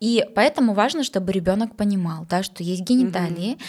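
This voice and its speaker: Somewhat breathy, a woman speaks very fast with ordinary pitch variation. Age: 30s. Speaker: psychologist and sexologist, podcast host. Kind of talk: casual chat.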